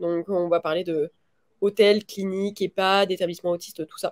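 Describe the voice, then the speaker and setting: A woman with a medium pitch has a dark, mellow tone. She talks at a fairly slow pace in a dry, close sound with no echo. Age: 20s. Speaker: real estate investor and trainer. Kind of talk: interview. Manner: halting.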